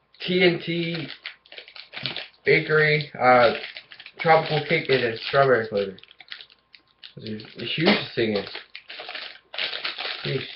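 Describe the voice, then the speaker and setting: A man with a fairly high pitch speaks fairly slowly, with long, frequent pauses and audible room echo. His intonation is lively and his loudness swings a lot. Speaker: food review youtuber. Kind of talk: casual product review vlog. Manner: hesitant, many fillers.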